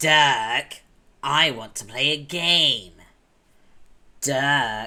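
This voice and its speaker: In a put-on character voice, a man speaks raised and projected at a fairly high pitch, very slowly, with long, frequent pauses. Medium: virtual streamer. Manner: loud, shouting.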